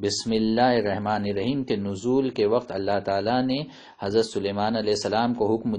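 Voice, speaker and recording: In a Deccani accent, a man speaks at a fairly low pitch with fairly even intonation and very even loudness. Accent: Dakani Urdu. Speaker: religious preacher. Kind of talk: religious sermon with book reading.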